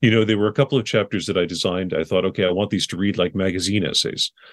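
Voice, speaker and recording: The speaker has an American accent, recorded dry and close with no echo against a quiet background. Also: man. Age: 40s. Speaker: memoir writer and teacher. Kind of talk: interview.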